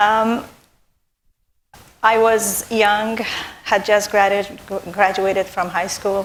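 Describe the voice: Very slowly, a woman speaks at a medium pitch in a flat monotone.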